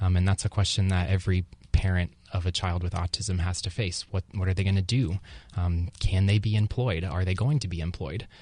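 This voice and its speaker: Speaking at a fairly quick pace over a quiet background, a man with a very deep, low pitch sounds somewhat breathy and keeps his intonation fairly even. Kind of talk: radio interview answer.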